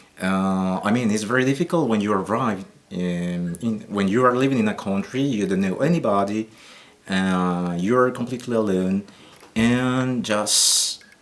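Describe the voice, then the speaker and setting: Over noticeable background noise, a man with a Colombian accent speaks fairly slowly at a fairly low pitch. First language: Spanish. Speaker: Spanish teacher. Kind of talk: interview. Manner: halting, many fillers.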